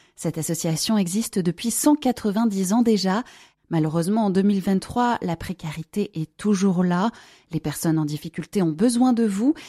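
In a very clean recording with a silent background and a dry, close sound without echo, a woman speaks fairly slowly at medium pitch, with a dark, mellow, somewhat breathy tone and lively intonation. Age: 30s. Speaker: charity volunteer. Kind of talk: recorded appeal.

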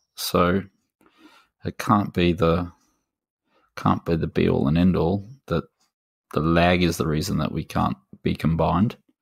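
Using an Australian accent, a man speaks fairly slowly with long, frequent pauses in a very deep, low voice with fairly even intonation, the sound dry and close with no echo. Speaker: gaming podcast co-host. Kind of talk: casual chat.

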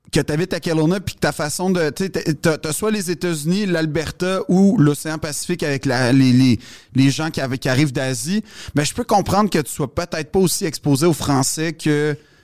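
With a plain, everyday voice, a man speaks at a moderate pace, his fairly high pitch showing ordinary variation. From Quebec, Montreal West Island. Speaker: comedian. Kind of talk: casual chat.

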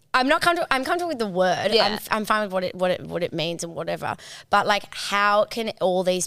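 Captured in a very clean recording with a silent background, a woman races along at a very fast pace, her bright, sharp tone at medium pitch moving in very wide pitch swings. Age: 30s. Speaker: advertising agency owner and content creator. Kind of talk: casual chat.

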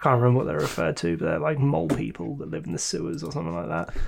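Very wide pitch swings from a man with a medium-pitched voice. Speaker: podcast host. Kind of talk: casual chat.

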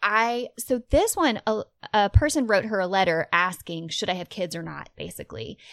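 Lively intonation and vocal fry come through at a moderate pace on a very clean recording with a silent background. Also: woman, medium pitch for a woman. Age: 30s. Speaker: podcast co-host. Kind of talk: casual chat.

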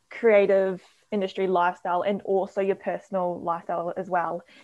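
A woman talks at medium pitch in a New Zealand accent. The background is quiet. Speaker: podcast co-host. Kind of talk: casual chat. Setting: video call.

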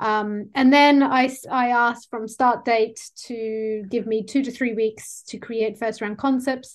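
A woman with an Australian accent, fairly high in pitch, monotone and flat, at a fairly slow pace with hardly any pauses, against a quiet background. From Sydney, Australia. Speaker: book cover designer. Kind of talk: casual chat.

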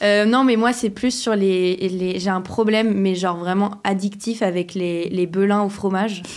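Over noticeable background noise, a woman talks at a fairly slow pace with hardly any pauses. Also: medium pitch for a woman, fairly even intonation, very even loudness. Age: 20s. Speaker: musician. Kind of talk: casual chat.

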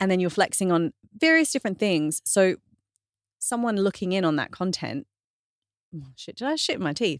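With an Australian accent and lively intonation, the speaker goes at a moderate pace in a dry, close sound with no echo on a very clean recording with a silent background. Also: woman. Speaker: fitness trainer and author. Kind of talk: casual interview chat.

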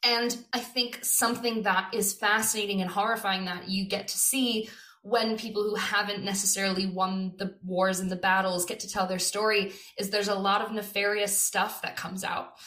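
A woman with an American accent at a medium pitch, moderate in pace and monotone, against noticeable background noise. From California. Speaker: theatre director. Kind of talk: interview.

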